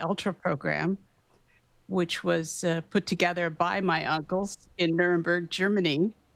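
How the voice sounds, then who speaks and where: Dry and close with no echo on a very clean recording with a silent background, a woman speaks fairly slowly in a fairly low voice with vocal fry and fairly even intonation. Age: 70s. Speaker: physician and anti-trafficking activist. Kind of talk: interview testimony. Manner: halting.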